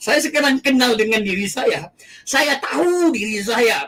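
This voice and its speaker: A man's intonation is lively. He talks at a moderate pace. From Aceh, Indonesia. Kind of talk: testimony.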